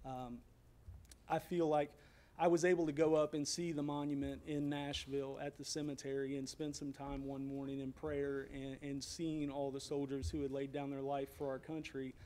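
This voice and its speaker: A dark, mellow tone in a Tennessee accent, monotone and flat in intonation, at a moderate pace. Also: man, fairly high pitch for a man. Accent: US Southern (Tennessee). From Franklin, Tennessee. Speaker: citizen speaker at public comment, military veteran. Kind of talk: public comment speech. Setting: city council meeting, speaking from podium.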